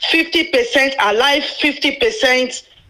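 Noticeable background noise runs under this woman's speech. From Nigeria, Anioma. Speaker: radio call-in listener. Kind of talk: phone-in call.

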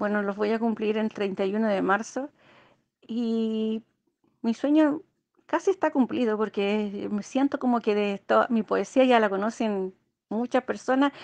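A woman with a fairly high voice speaks at a fairly slow pace, with ordinary pitch variation. The sound is dry and close with no echo, over a quiet background. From Chile. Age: 50s. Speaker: amateur poet. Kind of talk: interview. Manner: halting.

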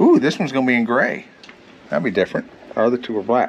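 Faint background noise is present. A man does the talking. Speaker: e-bike reviewer. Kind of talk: casual vlog chat. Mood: playful, joking. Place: street. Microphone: phone near.

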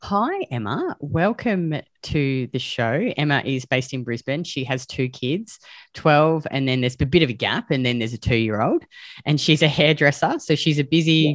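The speaker has an Australian accent and talks at a moderate pace. The sound is dry with no echo, over a quiet background. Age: 40s. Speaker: podcast host and weight loss coach; podcast host. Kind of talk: interview, casual chat. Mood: warm, friendly. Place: home room. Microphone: video call.

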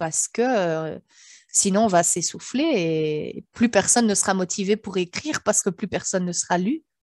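Recorded dry with no echo against a quiet background, a woman talks at medium pitch with ordinary pitch variation. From Belgium. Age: 40s. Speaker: author and sophrologist; interviewee. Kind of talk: interview. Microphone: headset.

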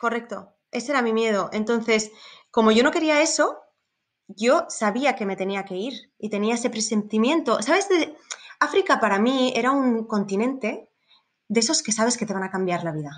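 This woman has a normal speaking voice, pitched fairly high. She talks at a moderate pace with lively intonation. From Spain. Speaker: safari tour operator. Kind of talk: interview.

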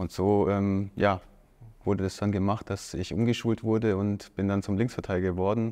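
A man talks at a moderate pace with a fairly low pitch and a dark, mellow tone. His intonation is monotone and flat. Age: 30s. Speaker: professional footballer. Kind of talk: casual interview. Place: studio. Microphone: lapel.

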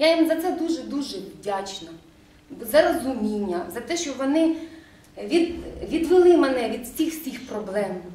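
Amid audible room echo and light background noise, a woman with a high pitch speaks at a fairly slow pace, swinging her pitch very widely and pausing long and often. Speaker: school principal. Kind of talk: meeting discussion. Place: meeting room. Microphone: camera far.

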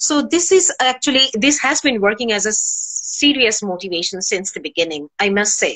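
In a Bengali accent, a woman with a fairly high voice speaks at a moderate pace with hardly any pauses, her pitch swinging very widely against a quiet background. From Bangladesh. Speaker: university senior lecturer. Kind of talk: interview answer. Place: home room. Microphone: video call.

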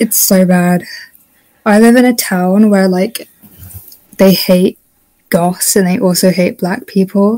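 In a British accent, a dark, mellow voice moves at a very slow pace with fairly even intonation and long, frequent pauses. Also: woman, medium pitch for a woman. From UK. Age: young. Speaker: student. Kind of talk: casual chat. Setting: video call.

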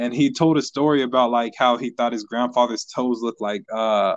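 Here is an ordinary speaking voice from a man with an American accent. His pitch is medium and his pace moderate. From US Midwest (Kansas, small town). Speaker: musician. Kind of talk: casual chat. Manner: laid-back, slangy.

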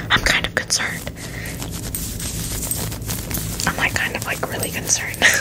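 Someone whispers in a soft-spoken way at a fairly quick pace against noticeable background noise. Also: woman. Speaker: ASMR video creator. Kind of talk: casual soft-spoken ASMR chat. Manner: soft whisper, mildly worried. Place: home room. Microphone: studio mic.

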